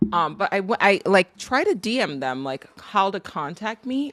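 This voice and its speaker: A woman with an American accent talks at a medium pitch against noticeable background noise. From Nigeria. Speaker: artist livestreamer. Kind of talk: casual livestream chat. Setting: livestream.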